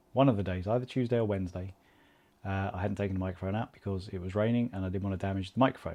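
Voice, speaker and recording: Speaking very fast with an English accent, a man has a fairly low pitch, a dark, mellow tone, and fairly even intonation against a quiet background. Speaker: amateur marathon runner vlogger. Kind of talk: casual vlog monologue. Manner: soft-spoken.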